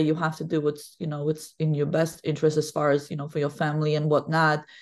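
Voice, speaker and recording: A woman's very deep, low-pitched voice comes through over a quiet background. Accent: Polish. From Poland. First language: Polish. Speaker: women's basketball head coach. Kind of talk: podcast interview. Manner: talkative.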